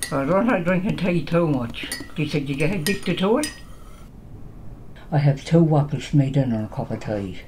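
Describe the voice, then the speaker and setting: With a Newfoundland accent, a woman speaks at a moderate pace in a very deep, low voice with lively intonation, over light background noise. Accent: Newfoundland outport. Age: 80s+. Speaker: farmer. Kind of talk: interview answer. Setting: at home. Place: home room. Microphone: camera far.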